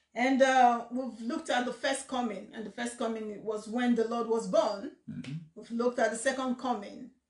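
In a room with audible echo but a quiet background, a woman speaks at a moderate pace in a high voice with fairly even intonation. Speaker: pastor hosting a question session. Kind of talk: sermon-like teaching chat. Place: home room. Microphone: phone near.

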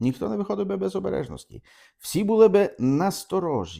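A man with a dark, mellow tone sweeps through very wide pitch swings in a very clean recording with a silent background. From Ukraine, Podillia (Khmelnytskyi region). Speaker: priest. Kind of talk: catechesis talk. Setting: video recording for own channel.

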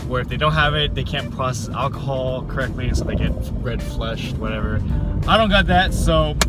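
Over loud background music, a man talks at a fairly quick pace, the sound dry with no echo. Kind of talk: casual joking chat. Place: car. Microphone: camera far.

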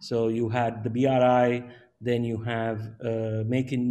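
A man's medium-pitched voice, dark and mellow in tone, stays monotone with flat intonation. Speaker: webinar moderator. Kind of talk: panel discussion. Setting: video call. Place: home room. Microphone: video call.

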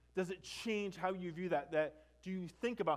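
Against a quiet background, a man talks with fairly even intonation. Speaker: preacher. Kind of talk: sermon. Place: church.

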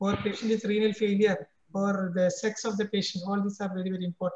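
With an Indian accent, a man speaks at a fairly quick pace in a high pitch, with audible room echo around him. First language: Malayalam. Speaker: cardiologist; panelist. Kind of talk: lecture. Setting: video call. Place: home room. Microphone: video call.

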